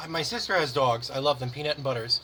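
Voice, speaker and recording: Very rapid male speech against noticeable background noise. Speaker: podcast co-host. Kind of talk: casual chat.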